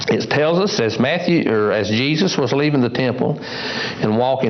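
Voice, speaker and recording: A man with lively intonation at a moderate pace, amid audible room echo and noticeable background noise. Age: 60s. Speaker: lay preacher. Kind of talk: sermon.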